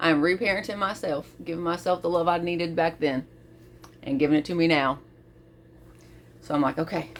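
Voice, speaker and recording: A woman with a fairly low pitch speaks in an animated tone at a fairly quick pace, with ordinary pitch variation. Long pauses come often between her phrases. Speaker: vlogger. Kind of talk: personal reflective monologue. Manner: animated, casual.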